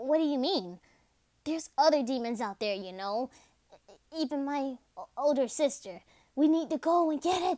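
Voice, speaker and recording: In a put-on character voice, a female-sounding speaker uses a high pitch and long, frequent pauses. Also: moderate pace. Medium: solo performance. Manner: brash, sarcastic, quick to insult.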